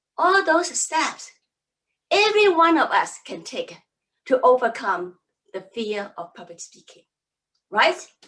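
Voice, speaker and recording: A woman with a Cantonese accent speaks at a fairly slow pace and a high pitch, leaving long, frequent pauses. Her pitch swings very widely and her loudness varies a lot. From Hong Kong. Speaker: public speaking coach. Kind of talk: seminar talk.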